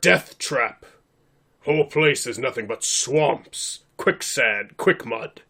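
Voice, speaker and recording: Putting on a raspy character voice, a man speaks fairly slowly at a fairly high pitch. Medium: actual play. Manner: formal, blunt.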